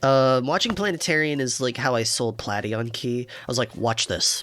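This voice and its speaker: Noticeable background noise sits behind a man's voice. He speaks at a medium pitch and moderate pace with lively intonation. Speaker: podcast co-host. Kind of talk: casual chat.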